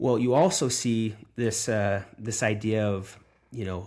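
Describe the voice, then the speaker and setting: Over a very clean recording with a silent background, a man with an American accent speaks at a fairly low pitch with fairly even intonation. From United States. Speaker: podcast host. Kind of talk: interview. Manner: halting, many fillers.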